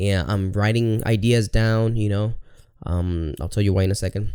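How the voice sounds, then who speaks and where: The tone here is animated. The pace stays moderate. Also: man. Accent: Spanish. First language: Spanish. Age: 30s. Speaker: podcaster. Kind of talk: casual monologue.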